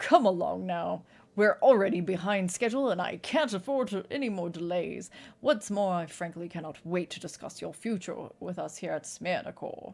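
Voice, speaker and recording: Booming in a put-on character voice with a British accent, a woman speaks at a moderate pace and a medium pitch. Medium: game stream. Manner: courteous, formal.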